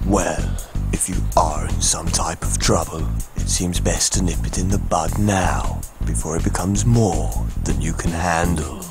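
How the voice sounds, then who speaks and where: A man uses a cartoonish character voice with a very deep, low pitch at a moderate pace. Music plays clearly in the background. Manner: matter-of-fact, measured.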